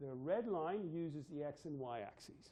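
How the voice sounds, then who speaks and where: Here a man talks with a fairly high pitch. His intonation is lively. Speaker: university physics lecturer. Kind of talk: lecture. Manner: fast.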